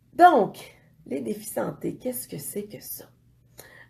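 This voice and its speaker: A woman with a Quebec accent, a dark, mellow tone and vocal fry. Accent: Québécois French. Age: 40s. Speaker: fitness coach. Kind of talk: casual vlog talk. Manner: hesitant, many fillers.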